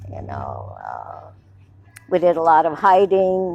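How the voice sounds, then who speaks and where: Music is playing behind the voice. The speaker is a woman. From Hungary (born Belgrade, Yugoslavia). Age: 70s. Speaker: Holocaust-era immigrant telling life story. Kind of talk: oral history testimony. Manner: halting, with fillers.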